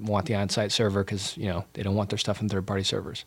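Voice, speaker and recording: Speaking with an American accent at a very fast pace, a man with a fairly low pitch comes through on a very clean recording with a silent background. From US, Southern California (Santa Barbara). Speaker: tech founder, former pro soccer player. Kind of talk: interview. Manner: halting, many fillers.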